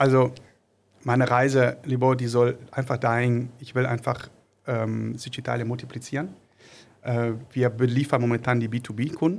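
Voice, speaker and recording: A man talks in a flat monotone at a medium pitch and moderate pace, leaving long, frequent pauses. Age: 40s. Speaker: small business owner, trained industrial mechanic. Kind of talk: podcast interview. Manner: halting, many filler sounds.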